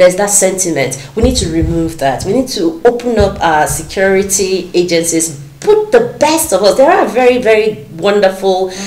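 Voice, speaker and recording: The speech goes at a moderate pace with hardly any pauses, with audible room echo and light background noise. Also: woman. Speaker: candidate. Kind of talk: interview answer. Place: studio. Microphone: lapel.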